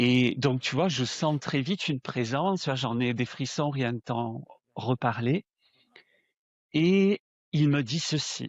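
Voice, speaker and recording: A man talks at a very slow pace with long, frequent pauses, keeping a medium pitch that shows ordinary variation. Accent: southern French. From southern France. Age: 60s. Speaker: spiritual medium. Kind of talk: interview. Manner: hesitant, with fillers and repetitions.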